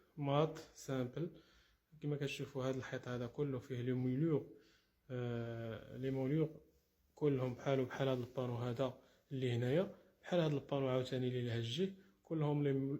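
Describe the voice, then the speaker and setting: A man's fairly high-pitched, somewhat breathy voice with a dark, mellow tone. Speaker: interior decoration contractor. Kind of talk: walkthrough tutorial showing finished work. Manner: casual, with frequent fillers and restarts.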